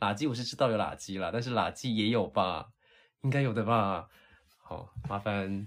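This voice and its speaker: With an ordinary speaking voice, a man talks at a fairly slow pace, his fairly low pitch showing ordinary variation. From southern Taiwan. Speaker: podcast host, language teacher. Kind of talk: casual chat.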